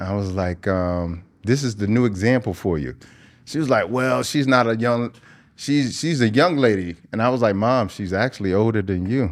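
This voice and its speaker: Using an ordinary speaking voice, a man with a fairly low pitch talks at a moderate pace with lively intonation. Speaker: interviewer and health show host. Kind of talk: casual interview.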